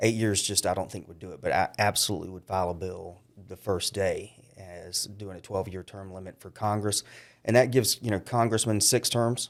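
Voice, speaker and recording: Over a silent background in a very clean recording, a man with an ordinary speaking voice talks at a fairly quick pace, his fairly low pitch held in fairly even intonation while his loudness swings widely. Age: 50s. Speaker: county councilman running for Congress. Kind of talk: interview.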